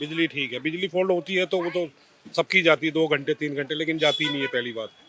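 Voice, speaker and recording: A man with a fairly high voice speaks at a moderate pace with fairly even intonation over noticeable background noise. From Delhi, Khairpur village. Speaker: local resident interviewed. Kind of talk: street interview. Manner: emphatic.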